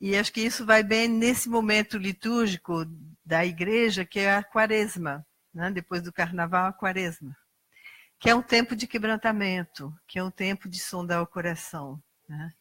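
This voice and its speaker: A woman with a Brazilian accent, medium pitch and ordinary pitch variation at a moderate pace, in a dry, close sound with no echo. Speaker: lay preacher. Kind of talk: sermon.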